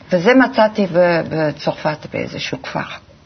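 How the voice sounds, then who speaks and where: A woman speaks at a very slow pace with a very deep, low pitch. Noticeable background noise is present. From Belgium (Antwerp). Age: 70s. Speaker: graphic designer. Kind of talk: interview.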